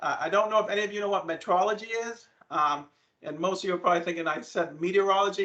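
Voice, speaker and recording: A man with a strong New England accent talks at a fairly quick pace. His intonation is fairly even. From New England (Maine). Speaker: land surveyor, company presenter. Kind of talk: presentation to students. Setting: video call. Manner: fast.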